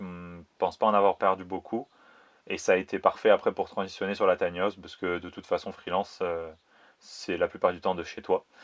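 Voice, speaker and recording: A man talks at a fairly quick pace, his loudness swinging widely. The sound is dry and close with no echo over a quiet background. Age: 30s. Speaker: video director and 3D artist. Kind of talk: interview. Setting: remote interview during lockdown in Spain.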